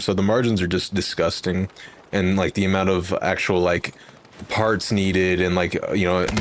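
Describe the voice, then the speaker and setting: With an American accent, a man talks in an animated tone at a fairly low pitch over noticeable background noise. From Texas, near Fort Worth. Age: 20s. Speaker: gaming streamer. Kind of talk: casual chat.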